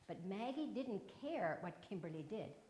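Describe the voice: Simple, plain reading out loud.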